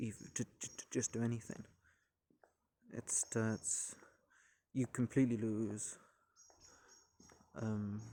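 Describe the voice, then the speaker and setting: The voice has a dark, mellow tone and monotone, flat intonation. Long pauses come often. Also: man. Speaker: vlogger. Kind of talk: personal vlog monologue. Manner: halting, many repetitions and false starts; stutters.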